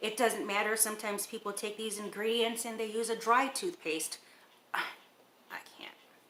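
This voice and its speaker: Loudness swings widely over noticeable background noise. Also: woman, fairly high pitch for a woman, ordinary pitch variation, moderate pace. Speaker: DIY cosmetics maker and seller. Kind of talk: casual tutorial.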